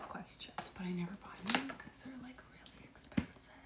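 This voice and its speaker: Noticeable background noise sits under a woman speaking at medium pitch and a moderate pace. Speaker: lifestyle vlogger. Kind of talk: casual vlog.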